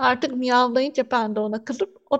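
Fairly slow, high-pitched speech from a woman. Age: 30s. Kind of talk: radio interview.

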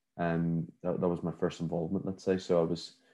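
A man with a Northern Irish accent speaks at a very deep, low pitch in a dark, mellow tone, monotone and flat, against a quiet background. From Northern Ireland, Belfast. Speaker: events company CEO. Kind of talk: interview. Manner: hesitant, many fillers.

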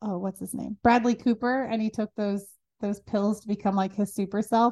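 A fairly quick pace, a dark, mellow tone and a dry, close sound with no echo. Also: woman. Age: 30s. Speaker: entrepreneur and marketing founder. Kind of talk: casual interview. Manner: energetic.

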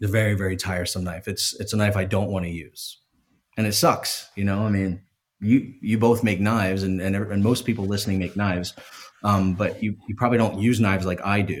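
A man talks with an American accent in an ordinary speaking voice. His pitch is fairly low, his intonation fairly even and his pace fairly quick. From US East Coast, Philadelphia. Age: 30s. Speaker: knife maker. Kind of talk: casual chat.

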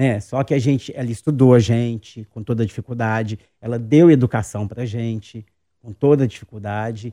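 The recording is very clean and silent in the background, with a dry, close sound and no echo. A man of medium pitch and a dark, mellow tone talks at a fairly quick pace. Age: 50s. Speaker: actor and drag queen. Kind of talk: interview.

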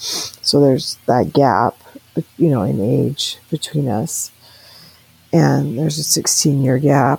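Very slow speech with long, frequent pauses and noticeable background noise. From grew up abroad in church families, incl. Tahiti and Africa. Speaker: interviewee telling life story. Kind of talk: life story interview.

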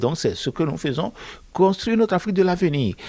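A man speaks with a fairly high pitch. Vocal fry runs through his voice. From Benin. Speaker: author and accountant. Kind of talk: interview monologue. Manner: hesitant, with fillers and repetitions.

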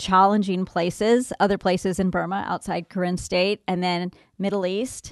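A woman with an American accent uses an unremarkable speaking voice at medium pitch with fairly even intonation. The sound is dry and close with no echo, over a quiet background. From Southern California. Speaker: humanitarian aid worker and mother. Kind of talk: interview. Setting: studio.

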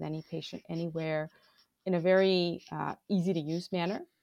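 A woman with an American accent, a fairly low pitch, monotone, flat intonation, and a moderate pace. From Bangladesh and US. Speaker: digital health executive. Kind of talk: interview.

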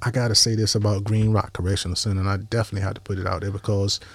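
This very clean recording with a silent background carries a somewhat breathy voice with flat, monotone intonation. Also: man. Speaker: former prisoner. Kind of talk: interview.

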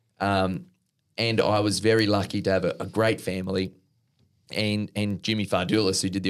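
In a very clean recording with a silent background, a man with a fairly low pitch and an Australian accent speaks in a flat monotone. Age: 30s. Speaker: professional tennis player. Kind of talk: interview.

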